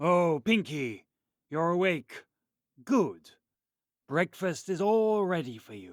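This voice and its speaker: A man puts on a character voice, speaking very slowly at a high pitch with long, frequent pauses, in a very clean recording with a silent background. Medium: audio drama.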